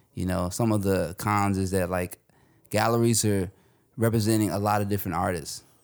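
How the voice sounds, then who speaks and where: A man with an American accent speaks in a plain, everyday voice, fairly low in pitch, with fairly even intonation. His pace is fairly quick, and the recording is very clean with a silent background. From Northern Virginia, US. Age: 30s. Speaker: artist and designer. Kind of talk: interview.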